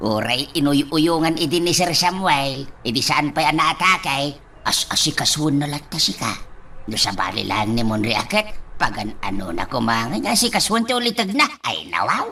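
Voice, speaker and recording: Over clear background noise, a put-on character voice sits at a low-to-middle pitch. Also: moderate pace. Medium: audio drama. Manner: exclaims 'ay, nawaw' often.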